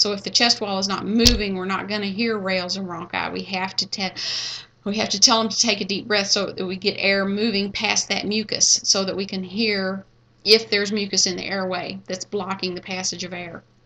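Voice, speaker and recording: A woman with a Kentucky accent, medium pitch, a bright, sharp tone and monotone, flat intonation. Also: fairly quick pace, quiet background. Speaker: nursing instructor. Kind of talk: lecture. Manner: halting, many fillers and restarts.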